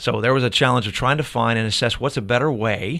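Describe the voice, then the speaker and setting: In an American accent, a man at a medium pitch speaks with vocal fry. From Ohio, US Midwest. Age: 40s. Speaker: fitness franchise owner and strength coach. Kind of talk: interview conversation. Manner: halting, many fillers.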